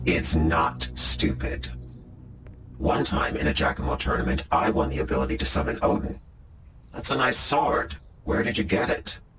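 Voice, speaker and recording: A man's put-on character voice, very deep and low, at a moderate pace with long, frequent pauses and clear background noise. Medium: comedy sketch.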